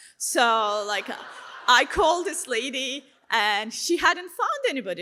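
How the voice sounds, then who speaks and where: A woman speaks with a Turkish accent and a bright, sharp tone. Her pitch swings very widely. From Turkey. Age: 30s. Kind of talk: testimony talk. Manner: casual, conversational with many fillers.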